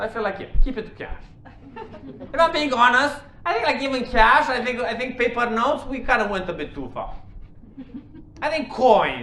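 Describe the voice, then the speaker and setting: A man with a Romanian accent speaks in a raised, projected voice at an extremely high pitch, at a moderate pace with long, frequent pauses. Audible room echo and noticeable background noise fill the recording. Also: ordinary pitch variation, big swings in loudness. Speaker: stand-up comedian. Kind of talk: stand-up. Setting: stage with audience.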